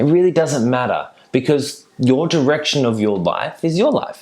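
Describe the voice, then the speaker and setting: A man with a fairly high pitch and an Australian accent, moderate pace and ordinary pitch variation. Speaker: mindset coach. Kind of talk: motivational talk. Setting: virtual summit. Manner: animated.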